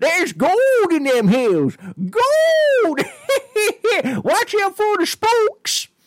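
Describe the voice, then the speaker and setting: A put-on character voice speaks at an extremely high pitch. The pace is very slow, with long, frequent pauses. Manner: friendly, spooky.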